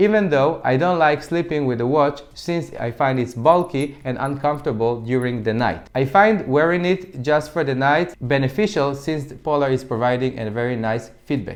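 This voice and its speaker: This man speaks with an Israeli accent at a moderate pace. His pitch is fairly high. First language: Hebrew. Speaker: fitness tech reviewer. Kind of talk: product review. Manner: occasional stumbles and false starts.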